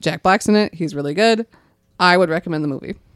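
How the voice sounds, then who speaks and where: With an American accent, a woman speaks in a normal speaking voice, pitched fairly low, with lively intonation and a dry, close sound with no echo on a very clean recording with a silent background. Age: 30s. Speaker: podcast co-host. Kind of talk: casual chat. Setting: studio.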